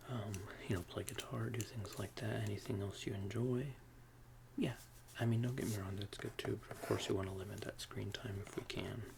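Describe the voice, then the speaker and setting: Soft-spoken and at a fairly quick pace, the speaker leaves long, frequent pauses amid noticeable background noise. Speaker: ASMR roleplay therapist. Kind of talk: ASMR therapist roleplay, soft spoken.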